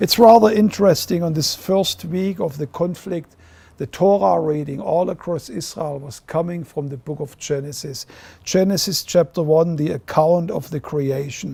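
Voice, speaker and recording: A man's dark, mellow tone in a German accent, with ordinary pitch variation and a moderate pace. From Germany. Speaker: ministry leader. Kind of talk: video address.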